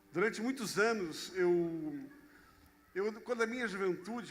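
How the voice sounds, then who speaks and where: Audible room echo follows a man who speaks very slowly at a high pitch. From Brazil, Rio de Janeiro. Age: 60s. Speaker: pastor. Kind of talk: sermon.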